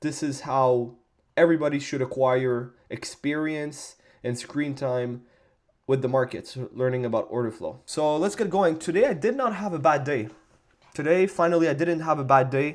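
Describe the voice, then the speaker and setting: The recording is very clean with a silent background. A man with a plain, everyday voice speaks at a fairly high pitch with ordinary pitch variation. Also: moderate pace. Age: 20s. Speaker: day trader. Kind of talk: screen-recorded trading journal tutorial. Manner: casual, informal.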